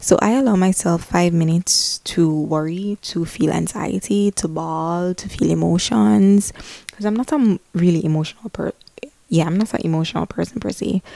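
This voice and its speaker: A woman's dark, mellow tone comes through a dry, close sound with no echo. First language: Spanish. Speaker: lifestyle vlogger. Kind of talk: casual vlog monologue. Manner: halting, repeats words.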